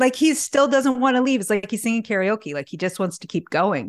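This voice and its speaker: A woman speaks in an ordinary speaking voice at medium pitch. Her intonation is lively, and the background is quiet. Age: 40s. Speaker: natural health expert and author. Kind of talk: casual interview chat.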